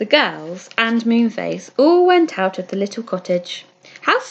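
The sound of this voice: The reading voice is unforced. The words come out without strain.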